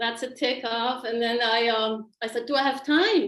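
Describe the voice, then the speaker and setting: This woman speaks with a non-native accent. Her pitch sits fairly high. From Switzerland. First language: not English. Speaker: qigong teacher. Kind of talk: personal story on a group video call.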